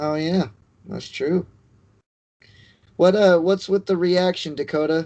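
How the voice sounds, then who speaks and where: With an American accent, the speaker has a dark, mellow tone and fairly even intonation. The pace is fairly slow, with long, frequent pauses. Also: man, high pitch for a man. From California. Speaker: podcast co-host. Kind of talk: casual chat.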